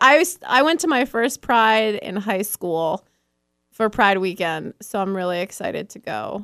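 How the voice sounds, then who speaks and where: A woman with an ordinary speaking voice talks at a fairly slow pace with an American accent, her medium pitch carried on lively intonation. Her loudness swings widely, and the recording is very clean with a silent background. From rural New York. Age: 30s. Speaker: rock radio host. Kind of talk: casual chat.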